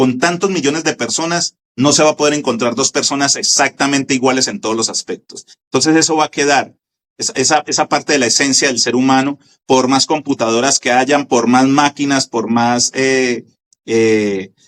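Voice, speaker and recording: A man with a Colombian accent speaks at a moderate pace in a medium pitch, with ordinary pitch variation and a dry, close sound free of echo. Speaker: radio station founder and broadcaster. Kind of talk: interview answer.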